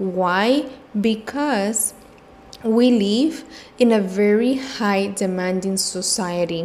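A woman at a very slow pace, with ordinary pitch variation and noticeable background noise. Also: medium pitch for a woman. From Cuba. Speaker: mindfulness and self love coach, podcast host. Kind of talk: solo podcast monologue, casual and reflective. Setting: home office.

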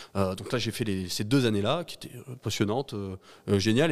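A man speaks at a fairly quick pace in a medium pitch with ordinary pitch variation. The recording is very clean, with a silent background. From France, Ardèche. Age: 30s. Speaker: cybersecurity entrepreneur. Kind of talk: interview. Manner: halting, many repetitions.

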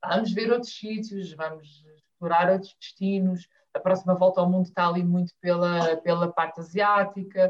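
At a moderate pace, a woman speaks with a medium pitch in monotone, flat intonation. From Azores, São Miguel. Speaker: family travel blogger. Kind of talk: casual interview chat.

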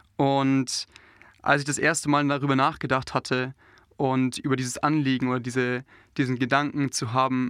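In a monotone, flat intonation, a man with a medium pitch speaks on a very clean recording with a silent background. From southern Germany, Allgäu (Bavarian Swabia). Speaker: pastor trainee. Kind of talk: interview. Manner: hesitant, many fillers.

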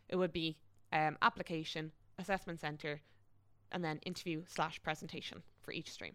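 Fairly quick and fairly even in intonation, a woman with an Irish accent speaks at a very deep, low pitch on a very clean recording with a silent background. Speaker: graduate recruitment specialist. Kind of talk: casual interview.

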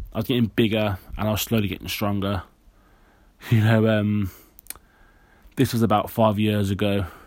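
In a very clean recording with a silent background, a man of medium pitch talks at a moderate pace. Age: 20s. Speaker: podcast host. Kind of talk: personal monologue. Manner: halting.

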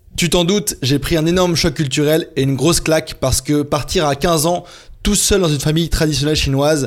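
Recorded very cleanly with a silent background, a man uses a plain, everyday voice, fairly high in pitch, at a moderate pace with ordinary pitch variation. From France. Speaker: podcast host, freelance entrepreneur. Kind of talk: scripted solo podcast narration.

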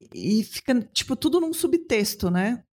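The very clean recording, with a silent background, captures a woman whose voice is somewhat breathy. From Belo Horizonte, Brazil. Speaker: podcast host. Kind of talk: casual chat.

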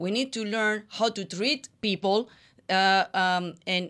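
With a Spanish accent, a woman is talking. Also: very clean recording, silent background. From Colombia. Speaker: co-host, former news journalist. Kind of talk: announcement; casual chat.

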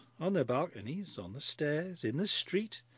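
Speaking at a fairly slow pace in a strong Scottish accent, the voice moves through very wide pitch swings. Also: man. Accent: Scottish, broad. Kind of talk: comic character monologue. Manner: chatty, wry, animated.

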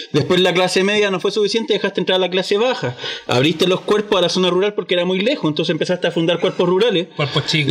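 Against noticeable background noise, a high-pitched man talks at a very fast pace with hardly any pauses and very even loudness. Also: ordinary pitch variation. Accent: Chilean. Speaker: podcast host; firefighter. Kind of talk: casual chat.

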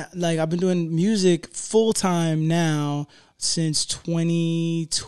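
With an American accent, a man talks at a very slow pace in a high pitch, his intonation monotone and flat, over noticeable background noise. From South Florida. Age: 30s. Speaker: rapper. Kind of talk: casual chat.

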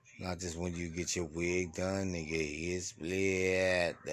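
Audible room echo surrounds a voice at a very slow pace with monotone, flat intonation. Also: man. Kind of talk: motivational monologue. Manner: slurring.

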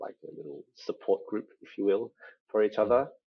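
Moving at a fairly quick pace, a man talks with an Australian accent. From Australia, Sydney. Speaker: guest. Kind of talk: casual chat. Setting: video call.

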